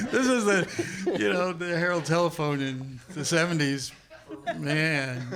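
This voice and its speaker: Over noticeable background noise and audible room echo, a man with a fairly high pitch speaks at a fairly slow pace with lively intonation. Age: 70s. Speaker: musician. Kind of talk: panel discussion.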